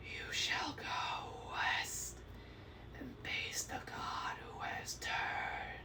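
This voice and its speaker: A very slow, raspy whisper in a put-on character voice, over loud background noise. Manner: hissing whisper.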